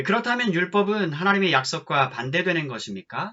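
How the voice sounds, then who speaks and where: A man talks at a fairly slow pace, his pitch making very wide swings. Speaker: pastor. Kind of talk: scripture reading.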